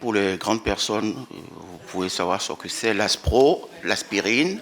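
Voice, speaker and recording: A man talks at a very slow pace with lively intonation. Noticeable background noise runs underneath. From Benin. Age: 60s. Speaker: employee with sickle cell disease giving testimony. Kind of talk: testimony at a round table.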